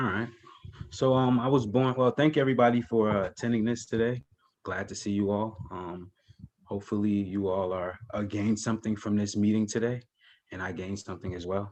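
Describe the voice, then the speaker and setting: A man with a New Jersey accent, talking at a fairly quick pace with fairly even intonation. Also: fairly low pitch for a man. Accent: New Jersey American English. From New Jersey, East Orange. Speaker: educator and videographer, university alumnus. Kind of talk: interview conversation. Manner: hesitant, many fillers.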